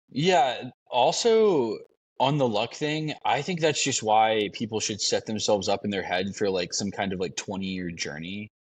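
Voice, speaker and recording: The speaker has a plain, everyday voice with lively intonation at a moderate pace. The background is quiet. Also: man, medium pitch for a man. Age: 50s. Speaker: podcast host. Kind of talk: podcast interview.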